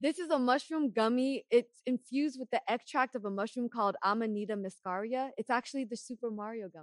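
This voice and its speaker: A woman with a high pitch speaks at a very fast pace, the sound dry and close with no echo. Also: ordinary pitch variation, big swings in loudness. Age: 30s. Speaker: podcast host. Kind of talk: casual podcast interview. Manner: upbeat, friendly.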